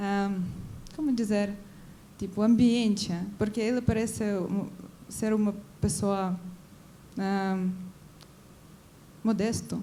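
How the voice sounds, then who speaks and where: A woman with a Ukrainian accent, dark, mellow tone and medium pitch, very slow pace with long, frequent pauses and fairly even intonation, amid audible room echo. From Ukraine. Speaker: audience member. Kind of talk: audience question at a film debate. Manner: halting, with false starts.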